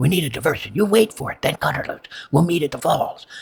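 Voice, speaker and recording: Putting on a character voice, a man talks at a very fast pace with a high pitch, lively intonation and big swings in loudness. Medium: read story.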